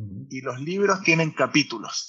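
A man talks very slowly, and his pitch moves in an ordinary way. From Chile. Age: 40s. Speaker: startup founder and CEO. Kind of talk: casual interview. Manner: halting, many repetitions and fillers.

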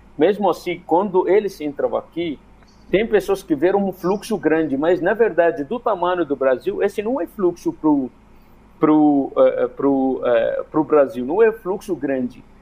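Using lively intonation, a man with a high pitch speaks at a moderate pace. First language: Arabic (speaking Portuguese). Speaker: migrant rights activist. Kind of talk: radio panel interview. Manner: halting, many fillers.

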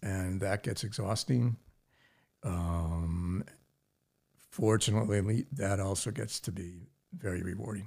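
A man with a fairly low, somewhat breathy voice speaks with long, frequent pauses. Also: ordinary pitch variation, fairly slow pace, very clean recording, silent background. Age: 70s. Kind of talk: casual interview. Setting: studio, in person.

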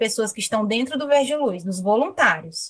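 A woman talks at a fairly quick pace. Her pitch is high and her intonation lively. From Brazil, Fortaleza (Ceará). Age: 20s. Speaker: marine biologist. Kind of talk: interview.

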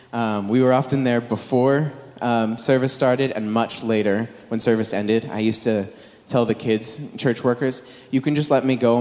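This man has a dark, mellow tone and a medium pitch, speaking with an American accent. His delivery is fairly quick and monotone, with flat intonation. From Southern California. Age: 20s. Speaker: preacher. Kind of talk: sermon.

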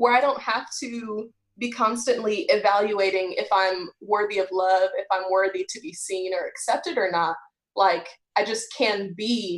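A woman's unremarkable speaking voice in an American accent, medium in pitch with ordinary pitch variation, at a fairly slow pace. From Texas. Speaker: podcast co-host. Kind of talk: casual chat.

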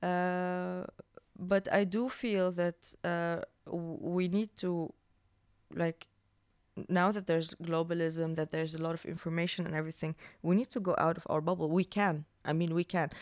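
A woman in an Arabic accent, fairly low pitch, fairly even intonation and a moderate pace with long, frequent pauses, in a dry, close sound with no echo. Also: very clean recording, silent background. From Syria. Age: 20s. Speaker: filmmaker. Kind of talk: casual chat.

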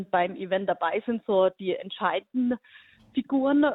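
Using a normal speaking voice, a woman talks at a moderate pace and a fairly high pitch with ordinary pitch variation. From Hohenlohe region, Baden-Württemberg, Germany. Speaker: national team coach and teacher. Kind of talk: radio interview.

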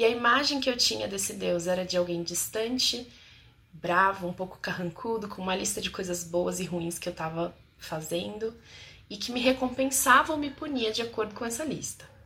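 A woman speaks at medium pitch and a moderate pace with lively intonation. Her tone is bright and sharp, yet also warm. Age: 30s. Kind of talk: testimony and advice monologue to camera. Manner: warm, intimate.

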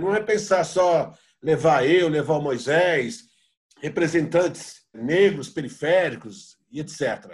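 A man's voice with a high pitch. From São Paulo, south periphery. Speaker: poet. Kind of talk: panel discussion. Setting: video call.

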